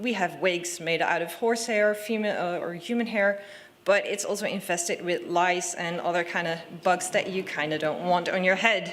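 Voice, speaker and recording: A woman with a Dutch accent speaks at a moderate pace with lively intonation. Noticeable background noise sits behind her. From Netherlands. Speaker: conference speaker. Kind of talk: short presentation.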